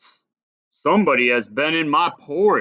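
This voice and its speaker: Doing a put-on character voice, a man sounds raspy at a fairly high pitch, with lively intonation and a moderate pace. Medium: read story. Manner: gruff, blustering.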